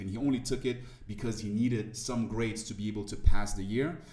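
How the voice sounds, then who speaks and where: A man's dark, mellow tone at a fairly low pitch, in a French accent, with audible room echo. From Ivory Coast. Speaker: motivational speaker. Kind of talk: interview conversation.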